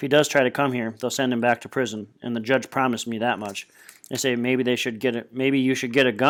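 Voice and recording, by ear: A natural voice reading aloud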